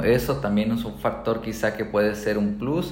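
The man's voice sits at a fairly low pitch. Room echo is audible. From Colombia. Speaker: real estate agent. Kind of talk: podcast monologue. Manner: halting, many fillers.

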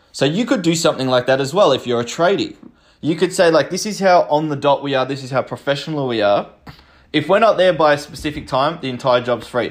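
The man's pitch sits fairly high, with ordinary variation. He talks at a very fast pace. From Australia (Melbourne). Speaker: small business coach, podcast host. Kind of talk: solo tutorial podcast. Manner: casual, rambling.

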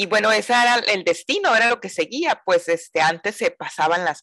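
A woman talks fairly quickly, her voice captured dry and close without any echo. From Mazatlán, Sinaloa, northern Mexico. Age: 40s. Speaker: yoga teacher. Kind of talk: interview. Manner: talkative.

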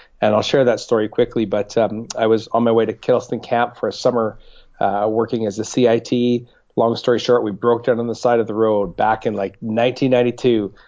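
Medium in pitch, a man speaks with a Canadian accent at a moderate pace. His intonation stays monotone and flat. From Canadian Prairies (Winnipeg, Regina). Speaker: pastor. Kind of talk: interview testimony.

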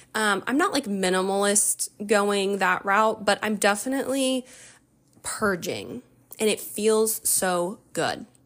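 The recording is very clean, with a silent background. A woman of medium pitch speaks very slowly with ordinary pitch variation. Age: 30s. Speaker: podcast host, stay-at-home mom. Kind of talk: casual monologue. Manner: casual with frequent fillers.

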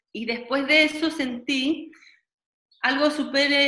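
A woman with a Chilean accent speaks in a bright, sharp tone with ordinary pitch variation. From Chile (Santiago). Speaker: dancer and dance therapist. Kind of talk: interview conversation. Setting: video call.

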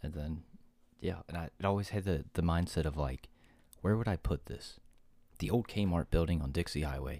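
A man with a very deep, low pitch and vocal fry speaks at a moderate pace, his tone dark and mellow with ordinary pitch variation. He leaves long, frequent pauses on a very clean recording with a silent background. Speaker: podcast co-host. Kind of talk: casual chat.

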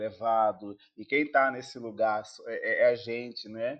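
Medium in pitch, this man's voice is heard. His pitch varies in an ordinary way. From Angola. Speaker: actor and film producer. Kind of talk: interview. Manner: halting, many repeated words.

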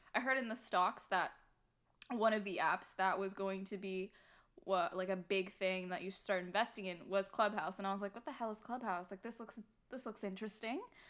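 An ordinary speaking voice moves at a fairly quick pace with big swings in loudness. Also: woman. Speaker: podcast co-host. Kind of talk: casual chat. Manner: chatty, laughs often.

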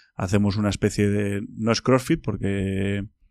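An unremarkable speaking voice from a man, fairly low in pitch, at a fairly slow pace against a quiet background. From Spain, Basque Country (Bilbao). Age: 30s. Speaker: bowhunter and nature content creator. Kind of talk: casual interview chat.

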